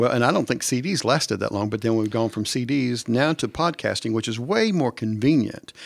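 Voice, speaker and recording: A man with an ordinary speaking voice, medium pitch, ordinary pitch variation, a fairly quick pace and hardly any pauses, on a very clean recording with a silent background. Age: 60s. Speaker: church staff member, podcast co-host. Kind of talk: casual chat. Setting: studio at church.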